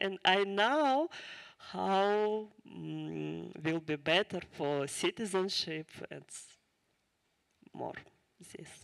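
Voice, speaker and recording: A woman with a strong Ukrainian accent speaks very slowly, with long, frequent pauses and big swings in loudness, in a very clean, silent recording with a dry, close sound and no echo. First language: Ukrainian or Russian. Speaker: refugee speaker. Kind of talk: testimony. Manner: halting.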